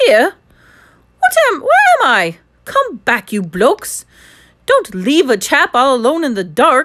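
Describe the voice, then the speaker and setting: A put-on character voice with an English accent speaks at a high pitch with very wide pitch swings. Long, frequent pauses run through a very clean recording with a silent background. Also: fairly slow pace. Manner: confused, anxious.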